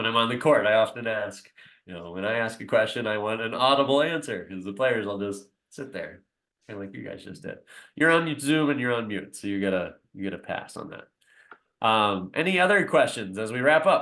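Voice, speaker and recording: A man has an ordinary speaking voice at a medium pitch. He talks at a fairly quick pace with lively intonation. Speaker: basketball coach. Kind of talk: presentation to parents on a video call. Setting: video call.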